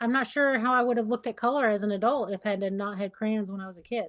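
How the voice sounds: Speaking in a Southern US accent at a very fast pace, the voice shows ordinary pitch variation. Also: woman, fairly high pitch for a woman. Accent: Southern American.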